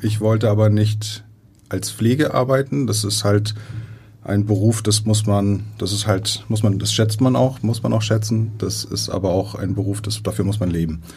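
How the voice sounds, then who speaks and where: There is audible room echo and noticeable background noise. A man speaks at a moderate pace in a fairly low voice with fairly even intonation. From Iran, moved to Germany at eleven, raised in Heide. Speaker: operating theatre nursing manager. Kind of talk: interview. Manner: halting, many fillers.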